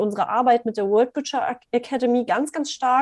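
A woman's voice with a dark, mellow tone. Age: 30s. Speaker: business coach. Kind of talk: interview.

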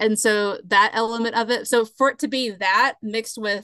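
Speaking in a Southern US accent at a moderate pace, a woman with a fairly high pitch uses ordinary pitch variation, her voice dry and close with no echo. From US South, South Carolina. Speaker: museum curator, podcast guest. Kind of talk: casual chat.

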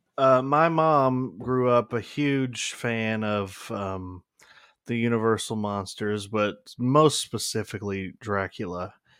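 Very slow speech from a man at a medium pitch, with ordinary pitch variation. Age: 20s. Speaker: podcast co-host. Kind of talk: casual chat. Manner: hesitant, many fillers.

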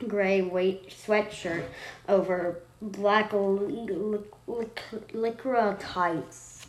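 Someone does plain reading aloud. Their intonation remains fairly even.

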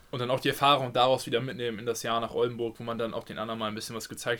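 A man speaks very fast at a medium pitch. His tone is bright and sharp, his intonation monotone and flat. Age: 20s. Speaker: handball player. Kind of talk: casual chat. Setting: at home.

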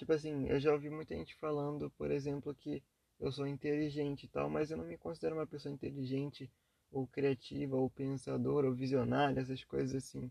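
Quiet and at a medium pitch, a man speaks fairly quickly with a dark, mellow tone and ordinary pitch variation, in a dry, close sound with no echo. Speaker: podcaster. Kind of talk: casual monologue. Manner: quiet, low energy.

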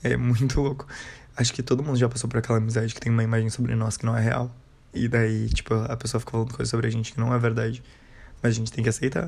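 Speaking at a very fast pace, a man sounds somewhat breathy. His intonation is monotone and flat. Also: medium pitch for a man. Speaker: podcaster. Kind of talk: casual monologue.

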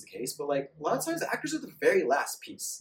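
Talking at a very fast pace, a man speaks with a Californian accent. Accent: Californian American. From San Diego. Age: 30s. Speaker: actor and model. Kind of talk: casual chat.

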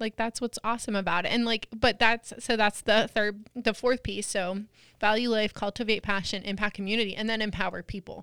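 A woman with an American accent at a fairly high pitch and fairly quick pace, bright and sharp in tone, monotone and flat in intonation, in a very clean recording with a silent background and a dry, close sound with no echo. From Pennsylvania, US. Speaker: podcast host. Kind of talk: interview.

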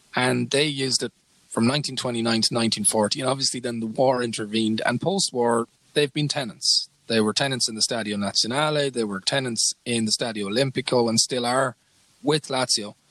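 A man with an Irish accent, medium pitch, fairly even intonation, and moderate pace, in a dry, close sound with no echo. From Ireland. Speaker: podcast co-host, sports journalist. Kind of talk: casual chat.

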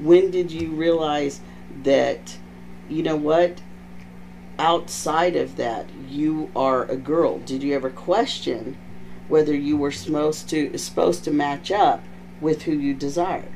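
Speaking in an American accent, a man keeps a fairly slow pace. Long, frequent pauses break up his speech. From Texas. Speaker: podcast host. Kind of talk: casual chat. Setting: video podcast. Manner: loud, animated.

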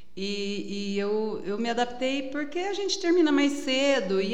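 A woman speaks at a fairly high pitch. Audible room echo surrounds her voice. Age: 50s. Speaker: amateur runner. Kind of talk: casual interview.

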